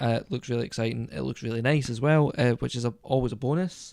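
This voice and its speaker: A man with a medium-pitched voice talks at a very fast pace with ordinary pitch variation. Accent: English. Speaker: podcast co-host. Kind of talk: casual chat. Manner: hesitant, many fillers.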